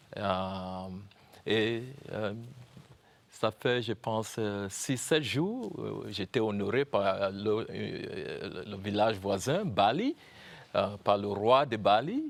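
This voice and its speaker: A man with a Cameroonian accent, fairly low in pitch, at a very slow pace with long, frequent pauses and ordinary pitch variation. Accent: Cameroonian anglophone accent in French. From Cameroon, anglophone North-West (Momo, Bamenda). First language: English (speaking French). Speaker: university founder and professor. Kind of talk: TV interview. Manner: halting, many hesitations.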